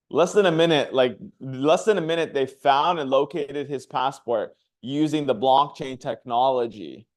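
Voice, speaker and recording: The speaker has ordinary pitch variation and a moderate pace. The background is quiet. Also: man. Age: 30s. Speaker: chief marketing officer presenting a finance company. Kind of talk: live promotional presentation. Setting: livestream. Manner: energetic.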